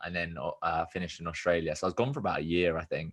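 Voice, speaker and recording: A man speaks in a very deep, low voice with a southern English accent. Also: quiet background. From southern England (Watford). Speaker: business coach and podcaster. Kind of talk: casual chat. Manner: animated.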